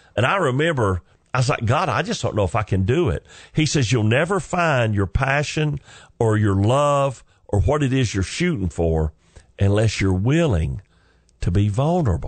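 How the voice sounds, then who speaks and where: A man with a Southern US accent and a somewhat breathy, medium-pitched voice makes very wide pitch swings while keeping his loudness very even, against a quiet background. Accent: southern drawl. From US South. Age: 50s. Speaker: comedian. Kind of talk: stand-up style storytelling. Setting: studio.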